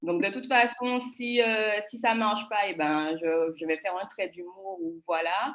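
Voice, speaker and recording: A woman speaks with a fairly high pitch at a fairly slow pace. Her intonation is lively. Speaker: public speaking panelist. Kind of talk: panel discussion. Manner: choppy delivery.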